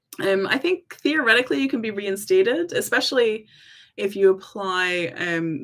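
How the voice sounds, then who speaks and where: Speaking with an American accent, a woman uses lively intonation at a fairly quick pace and a medium pitch. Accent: half American, half Scottish. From US South, Tennessee. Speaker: employment rights advisor. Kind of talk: live stream Q&A. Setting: livestream. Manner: casual, with many filler ums.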